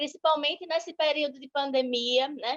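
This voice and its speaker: This woman's voice sits high in pitch, in a Sergipe accent. Her intonation stays fairly even. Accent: northeastern Brazilian (Sergipe), noticeable. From Brazil, Sergipe (Aracaju). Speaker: law teacher and legal analyst. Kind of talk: online lecture.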